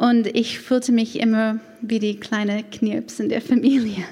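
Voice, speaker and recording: A woman with a strong American accent, fairly high in pitch, at a very slow pace with fairly even intonation. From United States. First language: English (speaking German). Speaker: church women's leader. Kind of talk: personal testimony. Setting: church event with audience, microphone. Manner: non-native, some grammar errors.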